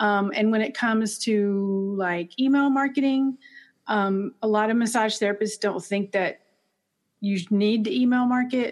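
A woman with an unremarkable speaking voice talks at a fairly slow pace and a fairly high pitch. Her loudness stays very even, with ordinary pitch variation. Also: quiet background. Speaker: massage therapist and marketing teacher. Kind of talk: interview, casual conversation.

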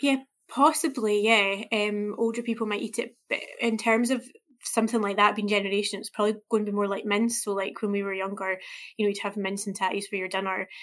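A woman's medium-pitched voice at a fairly quick pace, with fairly even intonation, on a very clean recording with a silent background. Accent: Scottish. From Scotland. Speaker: food journalist. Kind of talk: interview. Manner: hesitant, many fillers.

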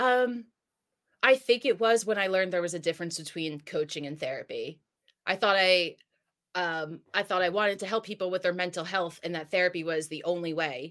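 A woman with an American accent has a plain, everyday voice, medium in pitch with ordinary variation, at a fairly quick pace. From New Jersey. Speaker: health and wellness coach. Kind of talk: interview. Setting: remote call.

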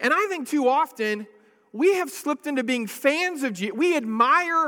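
In a raised, projected voice, a man with an extremely high pitch and a bright, sharp tone speaks with lively intonation. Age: 40s. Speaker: pastor. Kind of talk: sermon. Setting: church. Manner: halting.

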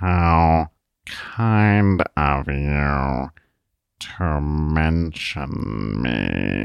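In a put-on, robotic character voice, a man speaks at a very slow pace with a very deep, low pitch and long, frequent pauses. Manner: stern.

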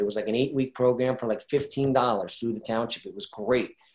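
A man with a New Jersey accent, medium in pitch and fairly quick in pace. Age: 50s. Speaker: retired ice hockey player and youth coach. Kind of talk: interview.

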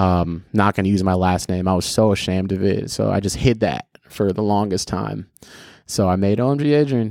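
In an ordinary speaking voice, a man with an American accent talks at a fairly quick pace and a fairly low pitch. His pitch varies in an ordinary way, his loudness stays very even, and the recording is very clean with a silent background. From US, Filipino American family. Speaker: content creator and director. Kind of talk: casual chat.

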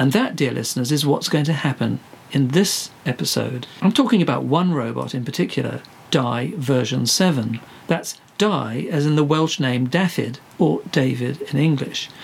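The man's fairly high voice moves at a moderate speed, with ordinary pitch variation, while noticeable background noise carries on behind him. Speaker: podcast host. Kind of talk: scripted comedy interview. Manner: flustered, hesitant, polite.

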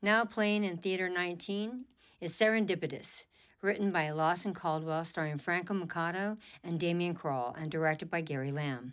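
Very clean, with a silent background, this is a woman with a plain, everyday voice and a fairly low pitch. She moves at a moderate pace with ordinary pitch variation. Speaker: radio theater podcast host. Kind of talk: scripted intro and outro announcements.

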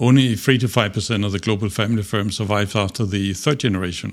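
The recording is very clean, with a silent background. Speech moves at a fairly quick pace with ordinary pitch variation. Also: man. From Denmark. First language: Danish. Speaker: business strategist. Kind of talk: interview.

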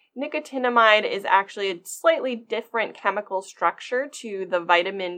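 Against a quiet background, a woman with an American accent speaks fairly slowly in an ordinary speaking voice with ordinary pitch variation. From US, Maryland. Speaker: glaucoma fellow ophthalmologist. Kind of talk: medical podcast interview.

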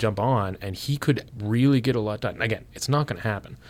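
A man speaks at a moderate pace with ordinary pitch variation, in a very clean recording with a silent background. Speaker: political reporter. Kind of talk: casual interview. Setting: studio.

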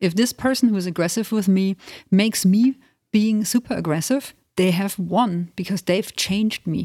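A woman speaks at a moderate pace with a medium pitch, ordinary pitch variation, and a somewhat breathy, dark, mellow tone. The recording is very clean, with a silent background. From Germany, Transylvanian family. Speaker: death midwife and funeral director. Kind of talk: interview.

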